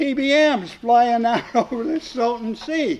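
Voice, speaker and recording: Noticeable background noise accompanies a man speaking at a high pitch with an American accent. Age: 90s. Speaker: war veteran. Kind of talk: casual chat. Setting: round table in a hall after a club meeting. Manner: halting, many fillers.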